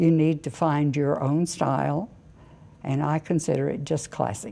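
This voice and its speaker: A very deep, low female voice with vocal fry and a dark, mellow tone, at a moderate pace with ordinary pitch variation. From Oklahoma. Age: 80s+. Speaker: interviewee, mother. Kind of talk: casual interview.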